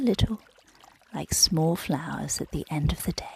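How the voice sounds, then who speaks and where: A gentle, soothing voice moves at a fairly slow pace while noticeable background noise plays behind it. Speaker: yoga nidra guide, meditation narrator. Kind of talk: guided relaxation, body-scan meditation. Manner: slow, gentle, soothing, calm.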